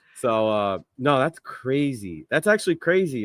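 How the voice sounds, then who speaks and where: A man with a medium-pitched voice speaks at a moderate pace in an animated tone, his pitch swinging very widely, recorded dry and close with no echo. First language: Spanish. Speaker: streamer. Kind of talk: casual chat.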